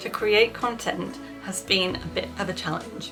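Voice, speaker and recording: A woman speaks with a British accent over music playing in the background. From Britain. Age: 40s. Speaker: vlogger. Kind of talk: casual chat. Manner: animated.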